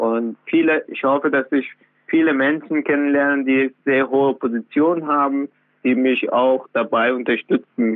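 With monotone, flat intonation, a man with a fairly high pitch speaks at a fairly slow pace. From Afghanistan, then Iran. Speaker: trainee electrician and author. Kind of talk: interview. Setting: phone call. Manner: halting.

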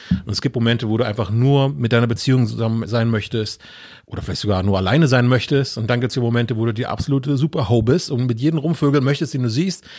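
Moving at a very fast pace, a man speaks at medium pitch with ordinary pitch variation. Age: 40s. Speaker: podcast guest. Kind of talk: casual chat.

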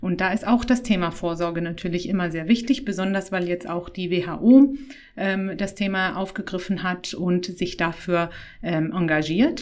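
At a fairly slow pace, a woman speaks in a normal speaking voice of medium pitch with ordinary pitch variation. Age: 30s. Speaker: gynecologist. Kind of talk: casual interview.

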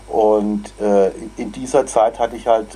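Over noticeable background noise, a man speaks in a monotone, flat intonation at a fairly low pitch. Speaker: choir conductor. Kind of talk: interview. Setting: video call.

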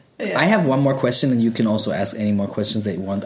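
Noticeable background noise sits behind a man's voice. He speaks at a medium pitch with lively intonation. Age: 30s. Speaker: podcast host. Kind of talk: casual chat.

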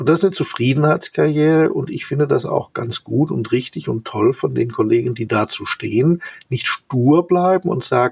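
A man talks at a moderate pace in a dry, close recording with no echo. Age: 60s. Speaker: company executive. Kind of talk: interview. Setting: video call.

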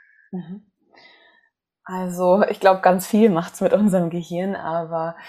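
A woman talks with a dark, mellow tone at a fairly low pitch. Her intonation stays fairly even. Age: 20s. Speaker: psychologist and coach. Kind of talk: casual interview.

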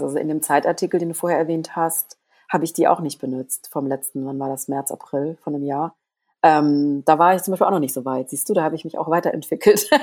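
The voice has a dark, mellow tone and moves at a fairly quick pace. Its loudness swings widely. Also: woman. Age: 40s. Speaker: body image activist and author. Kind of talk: casual interview. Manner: halting.

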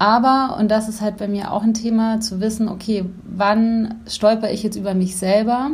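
A woman speaks at a moderate pace with a fairly high pitch and monotone, flat intonation. Audible room echo surrounds her voice. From Bavaria, Germany (Neuburg an der Donau). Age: 30s. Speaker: life coach. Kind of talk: interview.

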